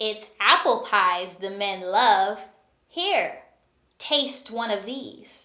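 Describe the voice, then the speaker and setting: A woman puts on a character voice, cackling at a fairly high pitch with lively intonation. She goes at a very slow pace, with big swings in loudness. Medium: read story.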